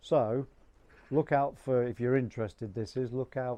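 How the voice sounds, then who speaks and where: A man speaks at a medium pitch with an English accent. His tone is dark and mellow. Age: 60s. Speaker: amateur photographer vlogger. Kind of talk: casual vlog talk. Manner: halting.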